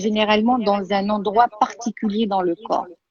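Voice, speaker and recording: Moving at a fairly slow pace, a woman speaks with a medium pitch and a dark, mellow tone. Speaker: therapist. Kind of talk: guided exercise.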